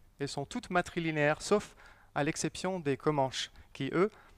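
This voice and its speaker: In a very clean recording with a silent background, a man talks at a fairly slow pace, his fairly high pitch showing ordinary variation. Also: dry, close sound with no echo. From US Southwest, Navajo Nation. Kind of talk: public lecture. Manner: slow and deliberate; hesitant, many fillers.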